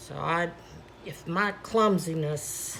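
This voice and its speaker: A woman speaks quietly and very slowly, with ordinary pitch variation. Room echo is audible, and there is noticeable background noise. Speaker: paint pouring artist, channel host. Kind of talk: tutorial. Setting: home studio at night. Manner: casual, chatty.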